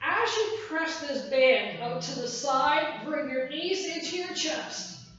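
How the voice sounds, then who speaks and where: A woman speaks in an energetic tone at a high pitch with ordinary pitch variation. Audible room echo and noticeable background noise fill the recording. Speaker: fitness instructor. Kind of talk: workout class instruction. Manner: energetic counting cues.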